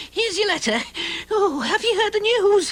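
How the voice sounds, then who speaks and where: In an extremely high pitch, a cartoonish character voice moves along at a moderate pace. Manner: chatty, excitable.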